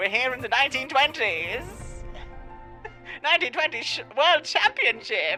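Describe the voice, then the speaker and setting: A raspy, put-on character voice. Clear music plays in the background. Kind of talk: 1920s announcer. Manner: enthusiastic.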